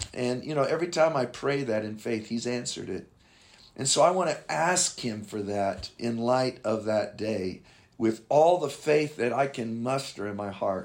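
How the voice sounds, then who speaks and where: Lively intonation from a man with an unremarkable speaking voice, at a medium pitch and moderate pace, on a very clean recording with a silent background. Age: 60s. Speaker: pastor. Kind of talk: casual interview.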